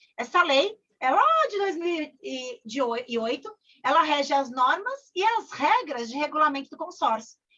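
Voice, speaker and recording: Raising and projecting her voice, a woman speaks at a high pitch in a bright, sharp tone, with very wide pitch swings and big swings in loudness. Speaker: corporate trainer. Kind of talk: online training session. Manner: fast; animated.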